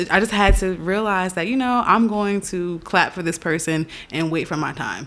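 A woman with an American accent speaks at a medium pitch in an ordinary speaking voice. Her intonation is lively. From New York. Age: 20s. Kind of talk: casual chat.

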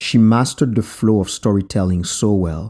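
This man speaks at a moderate pace with a Haitian accent, a fairly low pitch and ordinary pitch variation. His tone is dark and mellow, and the recording is very clean with a silent background. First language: Haitian Creole. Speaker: podcast host. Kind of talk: reflective storytelling narration.

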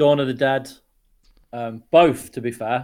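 Speaking at a moderate pace, a man keeps a medium pitch with monotone, flat intonation. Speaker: podcast guest, games fan. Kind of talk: casual chat.

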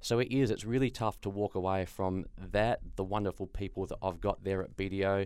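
Speaking with an Australian accent at a fairly quick pace, a man keeps a fairly low pitch and fairly even intonation on a very clean recording with a silent background. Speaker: sports journalist and accountant. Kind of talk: interview.

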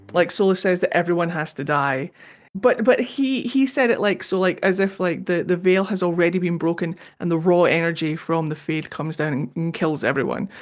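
A woman speaks with a Scottish accent at a fairly quick pace. Her pitch is fairly low, and the recording is very clean with a silent background. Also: ordinary pitch variation. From Scotland. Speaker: podcast co-host. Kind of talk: casual chat.

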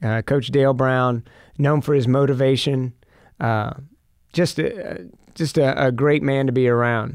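A man talks at a fairly slow pace with long, frequent pauses. His medium-pitched voice keeps fairly even intonation and very even loudness. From Texas, Fort Worth. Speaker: TV sports broadcaster. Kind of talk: casual chat.

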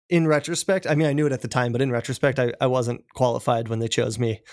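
At a fairly quick pace, a man speaks at medium pitch in an ordinary speaking voice, recorded very cleanly against a silent background. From Colorado, small mountain town near Denver. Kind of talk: casual interview.

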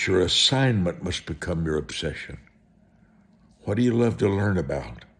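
A man with a very deep, low pitch and vocal fry makes very wide pitch swings, leaving long, frequent pauses. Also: moderate pace. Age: 70s. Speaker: televangelist preacher. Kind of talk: sermon.

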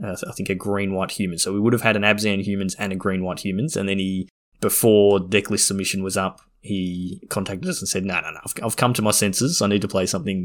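In a very clean recording with a silent background, a man speaks with an Australian accent. His pitch is fairly low, his pace fairly quick and his intonation fairly even. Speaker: podcast host. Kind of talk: casual chat.

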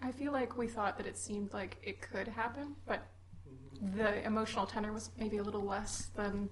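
Noticeable background noise fills the recording. Through it, a woman speaks at a fairly quick pace. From Minneapolis. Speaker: audience member. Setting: live event with audience.

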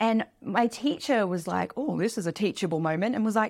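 With an Australian accent, a woman speaks at a fairly high pitch and a moderate pace, her intonation lively, in a very clean recording with a silent background. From Australia, small beach town. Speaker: money mentor and author. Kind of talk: casual interview.

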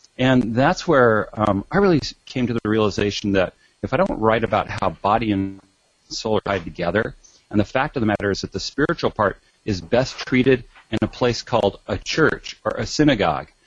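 A normal speaking voice from a man, medium in pitch, fairly quick in pace, with lively intonation. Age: 50s. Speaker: doctor and author. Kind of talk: interview.

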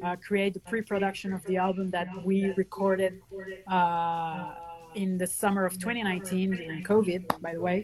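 A woman at medium pitch and a moderate pace, monotone and flat in intonation, with noticeable background noise. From Venezuela and France. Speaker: band guitarist. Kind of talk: casual interview chat. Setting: video call.

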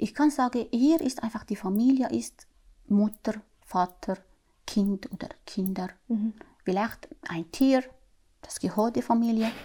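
Speaking very slowly with long, frequent pauses, a woman uses a fairly high pitch, ordinary pitch variation, and a dark, mellow, somewhat breathy tone. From Syria. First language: Arabic (speaking German). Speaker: mother of the host. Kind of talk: casual conversation, interview. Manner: halting.

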